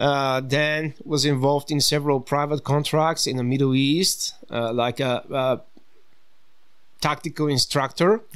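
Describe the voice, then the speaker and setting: This man has a fairly high pitch and a fairly slow pace. His intonation stays fairly even. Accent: Bulgarian. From Bulgaria. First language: Bulgarian. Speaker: tactical firearms instructor. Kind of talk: podcast interview.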